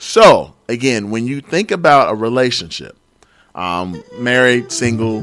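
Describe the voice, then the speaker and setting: Over music in the background, a man with an American accent and a medium pitch talks at a fairly slow pace in an animated tone. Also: lively intonation. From New York. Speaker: podcast host. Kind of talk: casual chat. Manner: loud.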